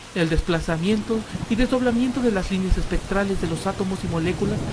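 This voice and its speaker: Noticeable background noise sits under speech delivered at a moderate speed. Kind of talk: mystery story narration. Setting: home recording, close to the microphone.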